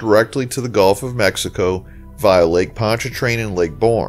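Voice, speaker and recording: With music in the background, a man talks at a fairly quick pace. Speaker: travel channel narrator. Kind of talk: documentary narration.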